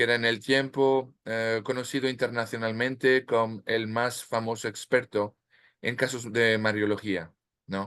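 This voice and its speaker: Over a quiet background, a man with a French accent and medium pitch speaks fairly slowly in a flat, monotone way. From France, Normandy. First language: French (speaking Spanish). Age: 50s. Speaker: author. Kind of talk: interview. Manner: halting, many fillers and restarts.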